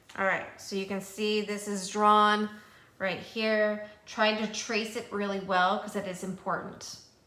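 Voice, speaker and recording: A woman at medium pitch speaks fairly slowly in a monotone, flat way, with audible room echo around her. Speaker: math teacher. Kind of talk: tutorial. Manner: casual.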